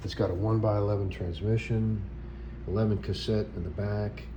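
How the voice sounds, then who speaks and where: Noticeable background noise and audible room echo around lively intonation. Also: man. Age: 60s. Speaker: vlogger. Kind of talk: casual chat. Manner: halting.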